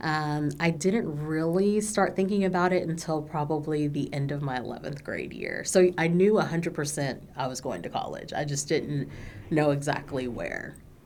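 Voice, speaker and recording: A woman's very deep, low voice with an American accent, ordinary pitch variation and audible room echo. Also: moderate pace, hardly any pauses. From Texas, Dallas area. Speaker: minister. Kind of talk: oral history interview. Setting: recording studio. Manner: hesitant, many filler words.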